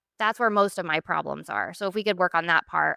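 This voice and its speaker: A woman with an American accent, medium pitch and a bright, sharp tone, talking at a fairly quick pace in a very clean, dry, close recording with a silent background and no echo. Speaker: recovering alcoholic sharing story. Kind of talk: testimony. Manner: hesitant, many fillers.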